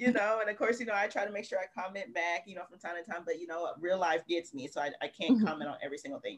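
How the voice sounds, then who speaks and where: This is a woman speaking. Her pitch is medium. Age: 30s. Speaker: romance author. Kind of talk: casual interview.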